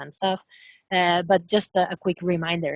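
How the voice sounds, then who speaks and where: The pace is moderate. A woman talks in a Spanish accent. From Spain. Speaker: professor. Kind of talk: webinar lecture. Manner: hesitant, many fillers.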